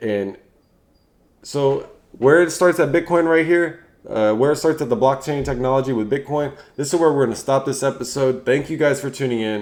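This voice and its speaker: Mumbling man with a fairly high pitch, ordinary pitch variation and a moderate pace. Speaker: finance YouTuber and podcast host. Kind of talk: casual solo explainer video. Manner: halting.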